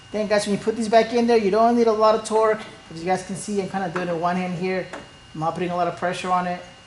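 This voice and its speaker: A woman speaks at a very fast pace with medium pitch and fairly even intonation. Noticeable background noise runs underneath. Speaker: printer repair tutorial host. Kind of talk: tutorial. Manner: casual.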